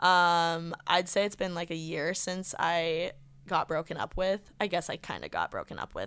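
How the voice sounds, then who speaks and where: Recorded very cleanly against a silent background, a woman with a Midwestern American accent speaks at a fairly low pitch with ordinary variation. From Indiana. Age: 20s. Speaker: podcaster. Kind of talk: casual chat.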